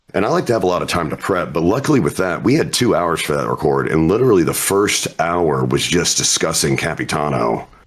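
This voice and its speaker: A man with a very deep, low pitch talks at a fairly quick pace, with hardly any pauses and very wide pitch swings. His loudness stays very even over noticeable background noise. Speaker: voice actor. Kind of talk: interview.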